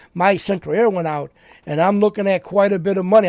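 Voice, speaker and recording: Loud and fairly quick, a man's voice comes through a very clean recording with a silent background and a dry, close sound with no echo. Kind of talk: casual political commentary monologue. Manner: halting, repetitive.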